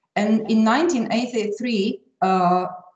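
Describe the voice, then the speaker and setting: Audible room echo surrounds the voice. A woman talks at a very slow pace. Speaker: conference presenter. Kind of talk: academic presentation. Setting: online conference. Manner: halting.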